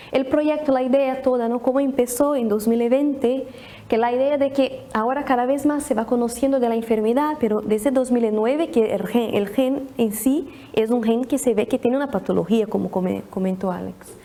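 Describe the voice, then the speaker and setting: Here a woman with a Brazilian accent speaks at a high pitch. She keeps a moderate pace with ordinary pitch variation. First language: Portuguese (speaking Spanish). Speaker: pediatric neurologist. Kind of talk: presentation. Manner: halting, many restarts.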